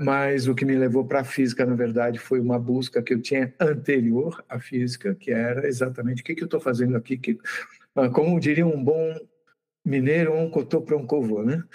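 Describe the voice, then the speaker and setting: A man with a plain, everyday voice talks at a moderate pace. His intonation is fairly even. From Brazil, São Paulo state (Santos). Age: 60s. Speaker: physicist and YouTube channel host. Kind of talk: interview.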